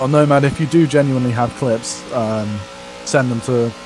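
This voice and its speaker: Over music in the background, the speaker talks at a fairly slow pace with a strong English accent. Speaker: sim racing stream commentator. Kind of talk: live commentary. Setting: live stream.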